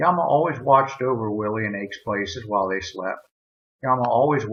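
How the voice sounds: A natural reading voice, ordinary pitch variation and a quiet background.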